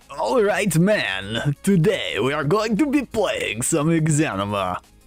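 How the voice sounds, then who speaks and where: With music in the background, a man with a fairly high voice speaks at a very slow pace, his pitch swinging very widely. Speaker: streamer. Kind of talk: casual.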